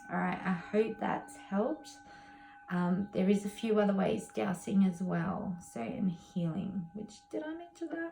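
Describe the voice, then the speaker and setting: Through noticeable background noise, a woman speaks fairly slowly at a medium pitch with lively intonation. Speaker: tarot reader. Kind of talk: tutorial. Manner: casual, hesitant with fillers.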